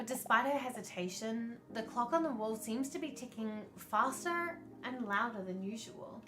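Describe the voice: The plain reading aloud carries lively intonation.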